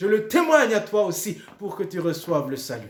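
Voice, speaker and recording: There is audible room echo around this man's voice. He speaks at a moderate pace with a high pitch. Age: 60s. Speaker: pastor. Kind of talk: sermon. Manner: repetitive, hesitant restarts.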